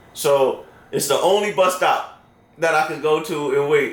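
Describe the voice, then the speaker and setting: Over noticeable background noise and audible room echo, a man with an American accent talks at a fairly slow pace in an animated tone. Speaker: storyteller. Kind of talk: storytelling. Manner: casual, animated.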